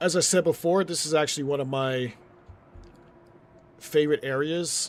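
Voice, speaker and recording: This man has an ordinary speaking voice and an American accent. His intonation stays fairly even. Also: fairly high pitch for a man, moderate pace. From US Northeast, New York City. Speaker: gaming streamer. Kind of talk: live gameplay commentary. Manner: casual, conversational.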